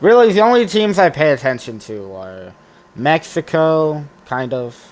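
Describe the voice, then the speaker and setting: A man is speaking. His pace is very slow. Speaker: football fan vlogger. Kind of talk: casual predictions monologue. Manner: halting, many fillers and restarts.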